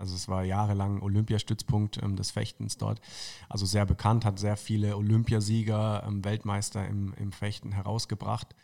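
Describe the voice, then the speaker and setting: A man's fairly low, dark, mellow voice at a moderate pace, monotone and flat. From northern Baden-Württemberg (Tauberbischofsheim, near Würzburg). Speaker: football club marketing manager. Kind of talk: casual interview.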